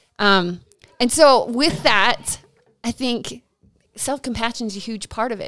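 A woman's normal speaking voice, fairly high in pitch, with ordinary pitch variation and big swings in loudness. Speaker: professional counselor. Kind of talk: casual chat.

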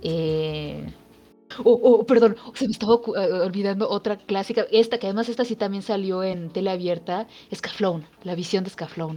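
At a moderate pace and with ordinary pitch variation, we hear a plain, everyday voice. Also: woman, medium pitch for a woman. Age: 30s. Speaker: podcast co-host. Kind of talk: casual chat.

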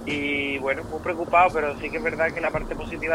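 Over noticeable background noise, a man with an Andalusian accent speaks at a moderate pace, his pitch fairly high and his intonation monotone and flat. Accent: Cádiz. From Andalusia, Rota (Cádiz). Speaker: pop singer. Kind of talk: interview.

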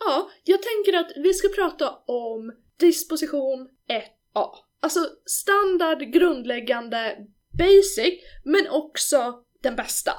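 A woman's extremely high-pitched voice moves through very wide pitch swings at a very slow pace. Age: 20s. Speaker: podcast host, rhetoric consultant. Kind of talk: casual chat.

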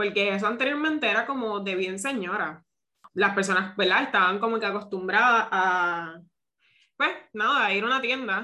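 An unremarkable speaking voice from a woman, with medium pitch, ordinary pitch variation and a moderate pace. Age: 30s. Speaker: podcast host, seamstress and boutique owner. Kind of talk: casual interview.

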